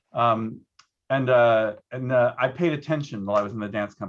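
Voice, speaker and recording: A man speaks at a very fast pace with a medium pitch. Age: 60s. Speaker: arts producer and former dancer. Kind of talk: panel discussion.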